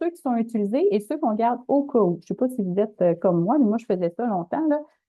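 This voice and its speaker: This woman has a fairly high pitch and speaks in a Quebec accent. Her pitch swings very widely. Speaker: webinar presenter. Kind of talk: webinar presentation. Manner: fast; casual.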